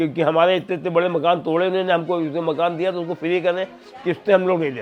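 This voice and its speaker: Noticeable background noise surrounds a man speaking at a high pitch. His intonation stays fairly even. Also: moderate pace. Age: 70s. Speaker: displaced resident. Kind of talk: interview testimony.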